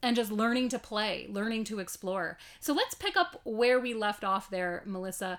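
This woman has a plain, everyday voice with a fairly high pitch. She talks at a moderate pace with lively intonation. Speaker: podcast host. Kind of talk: interview.

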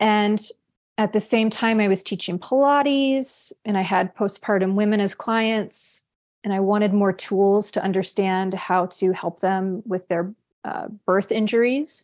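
Over a quiet background, a woman with an unremarkable speaking voice and medium pitch talks fairly slowly with fairly even intonation. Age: 40s. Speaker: somatic sex educator and coach. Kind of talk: casual chat.

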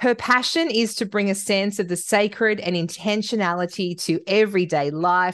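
Against a quiet background, a woman talks in a normal speaking voice of medium pitch. She keeps a moderate pace with hardly any pauses. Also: ordinary pitch variation. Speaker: podcast host. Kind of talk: casual interview chat.

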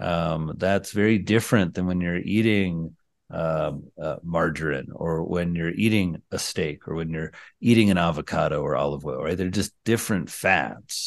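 With an American accent, a man with a very deep, low pitch and ordinary pitch variation talks at a moderate pace over a quiet background. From rural Indiana, US Midwest. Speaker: psychiatrist. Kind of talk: interview.

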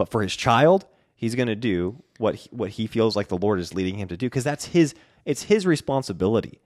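Here is a man with a normal speaking voice, medium pitch and lively intonation, going at a fairly quick pace. The recording is very clean, with a silent background. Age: young. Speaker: podcast host, musician and business owner. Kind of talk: casual chat. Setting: studio.

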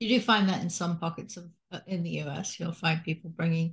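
Somewhat breathy and at a medium pitch, a woman talks at a moderate pace with fairly even intonation. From England (Salisbury). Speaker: podcast host, retired physician. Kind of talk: interview.

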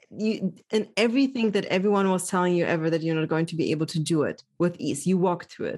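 A woman's dark, mellow voice at medium pitch, at a moderate pace. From Germany (born in Poland). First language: Polish. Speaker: social psychologist. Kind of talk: interview conversation.

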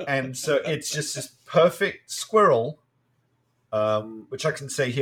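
A man talks with an English accent. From UK. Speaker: comic podcast co-host. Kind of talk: casual chat. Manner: halting.

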